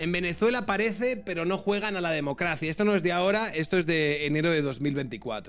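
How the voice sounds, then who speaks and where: A man with a Castilian accent speaks at a very fast pace with hardly any pauses, his pitch high and his intonation lively. Music plays in the background. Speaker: political commentator streamer. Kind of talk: live stream reaction commentary. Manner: conversational, reading aloud with asides.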